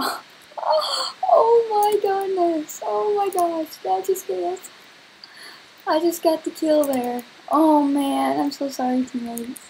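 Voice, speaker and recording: A woman speaks at an extremely high pitch with very wide pitch swings. Her pace is very slow, over light background noise. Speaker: gamer. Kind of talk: gameplay commentary.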